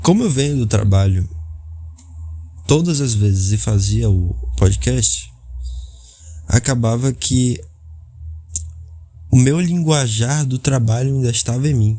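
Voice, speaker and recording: A man with a medium pitch talks at a fairly slow pace, leaving long, frequent pauses. His intonation is lively, and music plays in the background. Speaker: podcaster. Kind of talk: casual monologue.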